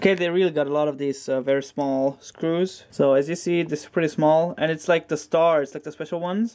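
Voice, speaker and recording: A man with a non-native accent at a fairly quick pace. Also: fairly high pitch for a man, fairly even intonation. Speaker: hobbyist repairing hard drive. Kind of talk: casual tutorial talk to camera. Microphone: phone near.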